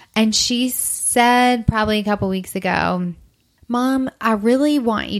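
A woman speaks with an unremarkable speaking voice at a fairly high pitch, her pitch moving in an ordinary way. The recording is very clean, with a silent background. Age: 30s. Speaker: blogger and adoptive single mother. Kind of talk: casual chat. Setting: in person at host's home.

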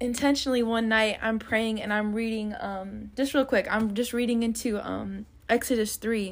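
A woman with an unremarkable speaking voice, pitched fairly high, talks at a moderate pace. She barely pauses, and her intonation stays fairly even. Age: 20s. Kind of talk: casual faith chat.

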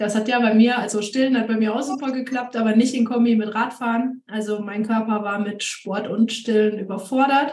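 A woman speaks at a fairly high pitch and moderate pace, with hardly any pauses and monotone, flat intonation. Audible room echo and noticeable background noise are present. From Siegen-Wittgenstein, Germany. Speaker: amateur road cyclist and mother. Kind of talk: casual chat.

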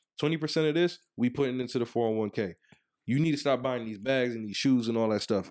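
A man with a medium pitch talks at a very fast pace. The recording is very clean, with a silent background. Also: ordinary pitch variation. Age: 30s. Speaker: podcast co-host. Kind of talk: casual chat. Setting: video recording.

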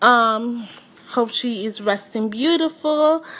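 A woman speaks at a very slow pace with a high pitch and ordinary pitch variation. Noticeable background noise runs beneath her voice. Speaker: podcast host. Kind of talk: casual solo podcast monologue. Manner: casual, chatty.

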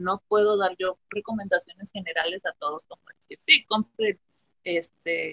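The sound is dry and close, without any echo. A woman's speech comes at a fairly slow pace. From Mexico, Temixco, Morelos. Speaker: nutrition student. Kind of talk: casual chat.

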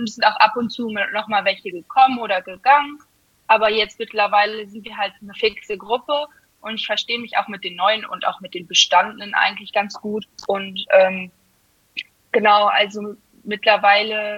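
A woman's ordinary speaking voice, fairly high in pitch, at a moderate pace, with fairly even intonation and big swings in loudness. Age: 20s. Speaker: amateur guard dancer. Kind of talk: casual interview. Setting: podcast.

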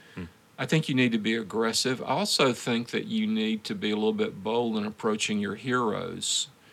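Male voice of medium pitch at a fairly quick pace with fairly even intonation. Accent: Southern US. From US South. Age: 70s. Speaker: pastor. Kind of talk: interview.

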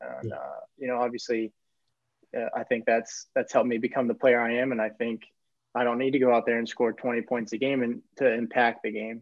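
Here a man speaks at a fairly quick pace. His medium-pitched voice stays monotone and flat. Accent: American. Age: 30s. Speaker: former college basketball player, pro basketball player. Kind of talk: casual chat. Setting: video call.

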